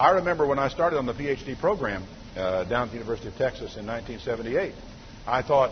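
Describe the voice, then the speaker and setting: This man has an unremarkable speaking voice, fairly high in pitch, with lively intonation. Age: 50s. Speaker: pastor. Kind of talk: sermon.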